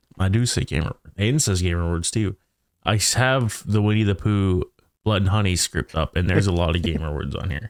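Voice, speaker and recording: This man's voice is very deep and low, moving at a fairly quick pace over a very clean recording with a silent background. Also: ordinary pitch variation, dry, close sound with no echo. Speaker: podcast co-host, gamer. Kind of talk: casual chat.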